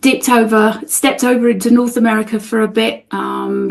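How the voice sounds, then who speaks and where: A woman speaks in a South London accent at a moderate pace. There is noticeable background noise. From England, outside London. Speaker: spiritual guide. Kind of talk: interview.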